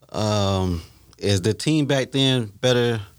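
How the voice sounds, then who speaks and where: In a very clean recording with a silent background, a man talks at medium pitch in a normal speaking voice. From Ohio. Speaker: football fan panelist. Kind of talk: casual sports chat.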